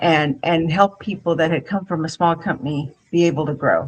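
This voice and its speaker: At a moderate pace, the speech comes out somewhat breathy. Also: woman. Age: 60s. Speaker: HR executive and career coach. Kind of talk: interview conversation. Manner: halting, many fillers.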